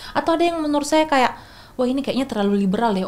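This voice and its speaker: A woman speaks with lively intonation. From Makassar, South Sulawesi, Indonesia. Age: young. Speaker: researcher, religious moderation expert. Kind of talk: podcast interview explanation. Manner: hesitant, with fillers and restarts.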